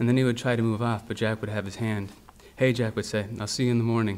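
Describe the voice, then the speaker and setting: At a very fast pace, a man delivers his words. His pitch is fairly low and his intonation monotone and flat. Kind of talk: literary reading. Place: hall. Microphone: podium.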